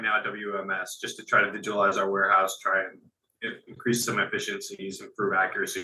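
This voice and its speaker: This man has a bright, sharp tone and a New Jersey accent. He talks at a fairly quick pace with fairly even intonation. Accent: New Jersey American. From Central New Jersey. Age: 20s. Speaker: warehouse operations worker. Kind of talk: interview. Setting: call.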